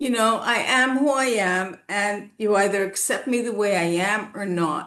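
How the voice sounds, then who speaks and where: A woman's plain, everyday voice, medium-pitched, at a fairly slow pace with ordinary pitch variation. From Canada, Toronto. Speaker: naturopath. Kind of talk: casual chat.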